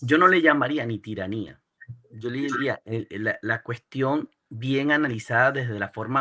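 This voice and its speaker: A man at a fairly slow pace, bright and sharp in tone, with ordinary pitch variation and a dry, close sound with no echo. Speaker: podcast host. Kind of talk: interview conversation.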